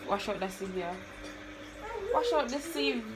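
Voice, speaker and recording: In a Jamaican accent, the speaker's animated tone moves at a moderate pace over noticeable background noise. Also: woman. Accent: Jamaican English with patois. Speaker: vlogger. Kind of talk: casual cooking vlog. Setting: home kitchen. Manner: animated, laughing. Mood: relaxed, playful. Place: kitchen. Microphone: phone near.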